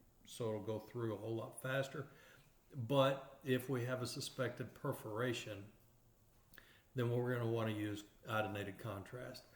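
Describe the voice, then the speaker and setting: The voice is somewhat breathy, with fairly even intonation. Long, frequent pauses come through with audible room echo. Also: man, medium pitch for a man, moderate pace. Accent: East Texas. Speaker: radiography instructor. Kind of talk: lecture. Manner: halting, frequent fillers and repeated words.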